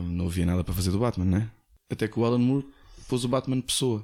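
Recorded very cleanly against a silent background, a man speaks in a dark, mellow tone. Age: 40s. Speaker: former radio host. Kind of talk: casual chat.

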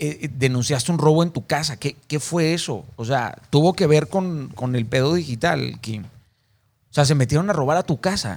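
In a very clean recording with a silent background, a man with an unremarkable speaking voice and a fairly high pitch talks at a moderate pace with ordinary pitch variation. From Mexico, Mazatlán, Sinaloa. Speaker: podcast host. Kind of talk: interview.

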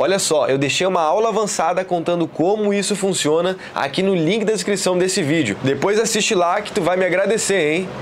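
Noticeable background noise sits behind a man with a high pitch. He talks at a fairly quick pace with hardly any pauses. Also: ordinary pitch variation. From Rio Grande do Sul, Brazil (Porto Alegre). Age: 20s. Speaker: motivational video creator. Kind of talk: motivational vlog. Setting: in a car. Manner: animated.

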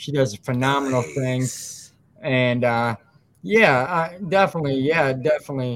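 A man with an American accent and an ordinary speaking voice, medium pitch, ordinary pitch variation and a moderate pace. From West Michigan. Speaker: podcast host. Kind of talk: casual chat.

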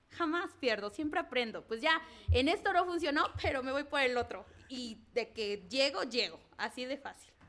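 A woman's high-pitched voice at a moderate pace, with very wide pitch swings and noticeable background noise. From Mexico, Zacatelco, Tlaxcala. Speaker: entrepreneur, pole dance instructor. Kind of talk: casual interview.

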